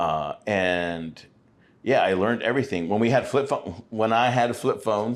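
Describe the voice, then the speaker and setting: A man speaks at a moderate pace with very even loudness and ordinary pitch variation. The recording is very clean, with a silent background. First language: Spanish. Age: 40s. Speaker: retired professional wrestler. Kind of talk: casual chat. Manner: speaks low; works on steady pace.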